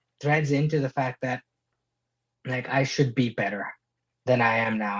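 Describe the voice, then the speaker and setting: A somewhat breathy, medium-pitched male voice with ordinary pitch variation. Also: dry, close sound with no echo. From Middle East (Abu Dhabi, Dubai), Indian. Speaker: singer-songwriter. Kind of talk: casual chat.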